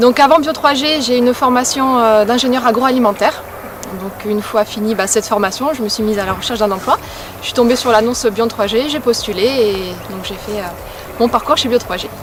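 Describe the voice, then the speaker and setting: A woman's fairly high voice, fairly quick pace and ordinary pitch variation, with noticeable background noise. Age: 30s. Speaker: regional sales manager. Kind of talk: workplace testimony interview.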